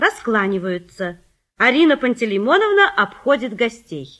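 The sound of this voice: A woman speaks at a moderate pace. Her fairly bright tone carries big pitch swings.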